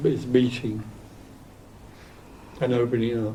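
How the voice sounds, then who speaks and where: In a monotone, flat intonation, a man speaks with audible room echo. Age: 80s. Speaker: spiritual teacher. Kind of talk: spiritual group Q&A talk. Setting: hotel meeting room with small audience. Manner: soft-spoken.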